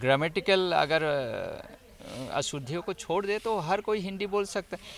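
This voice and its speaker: A high-pitched man's voice with lively intonation and an Assamese accent. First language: Assamese (speaking Hindi). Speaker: professor and language institute official. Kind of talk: interview. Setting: in Raipur.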